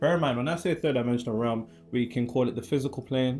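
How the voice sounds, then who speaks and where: With an English accent and a dark, mellow tone, a man talks at a very fast pace on a very clean recording with a silent background. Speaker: spiritual teacher. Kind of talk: lecture; casual chat.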